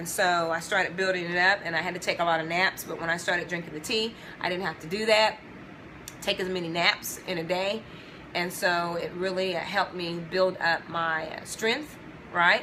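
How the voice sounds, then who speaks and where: Against noticeable background noise, a woman speaks at a moderate pace. Her pitch is fairly low and her intonation fairly even. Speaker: video blogger sharing customer experience. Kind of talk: casual talk to camera answering questions. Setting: at home. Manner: soft-spoken, talking low.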